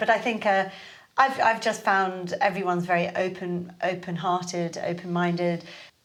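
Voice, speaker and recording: A woman's medium-pitched voice in a southern English accent, fairly even intonation, audible room echo. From London. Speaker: Pilates teacher and studio owner. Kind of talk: podcast interview. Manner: hesitant, many fillers.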